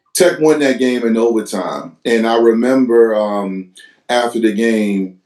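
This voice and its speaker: The man has an unremarkable speaking voice at a medium pitch. He talks at a fairly slow pace with ordinary pitch variation. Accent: American. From US, Virginia Hampton Roads. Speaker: podcast host. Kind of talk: casual interview.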